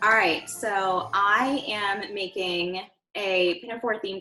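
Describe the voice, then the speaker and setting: A woman with an American accent at a medium pitch, fairly even intonation, music in the background. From US South, Charleston, South Carolina. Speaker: opera company staff member. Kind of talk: casual chat, cocktail tutorial. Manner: casual, hesitant with fillers.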